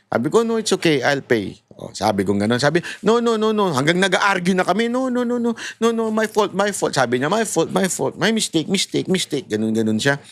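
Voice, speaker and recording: Animated and fairly quick, a man speaks at a high pitch with very wide pitch swings. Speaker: political commentator. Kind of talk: political commentary vlog.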